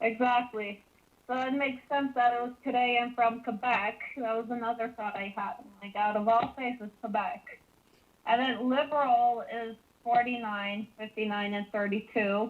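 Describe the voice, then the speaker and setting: At a moderate pace, a woman talks in a plain, everyday voice, fairly high in pitch with fairly even intonation. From Canada. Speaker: caller. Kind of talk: phone-in discussion.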